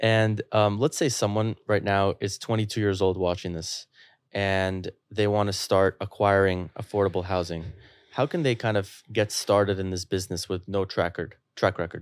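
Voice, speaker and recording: A man with a normal speaking voice, fairly low in pitch, speaks at a moderate pace with fairly even intonation. The recording is very clean, with a silent background. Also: dry, close sound with no echo. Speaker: podcast host. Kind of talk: casual interview.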